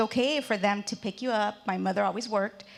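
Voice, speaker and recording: A woman with a Spanish accent talks at a medium pitch, with vocal fry. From Mexico, raised in the US from age three. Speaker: businesswoman, panelist. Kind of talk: panel discussion. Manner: halting, many fillers.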